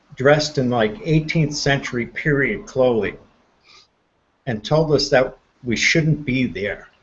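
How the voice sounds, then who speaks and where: A man speaks somewhat breathily at a fairly slow pace, with ordinary pitch variation and long, frequent pauses. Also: fairly high pitch for a man. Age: 60s. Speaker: paranormal enthusiast. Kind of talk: casual chat. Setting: live stream hangout.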